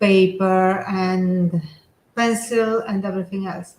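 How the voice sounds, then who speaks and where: A woman speaks at a very slow pace with a non-native accent. Her voice is somewhat breathy. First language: not English. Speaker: teacher and online seller. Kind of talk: casual chat. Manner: halting.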